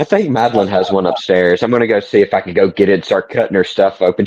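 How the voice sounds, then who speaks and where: A man speaks very fast in a Southern US accent. His pitch sits fairly low. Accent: soft Southern. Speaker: podcast guest. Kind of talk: casual chat. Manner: gentle, soft-spoken.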